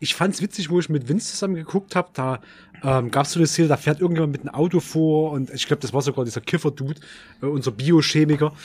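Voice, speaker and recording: Fairly quick pace and a somewhat breathy sound. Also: man. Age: 30s. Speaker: horror film enthusiast. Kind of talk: casual chat.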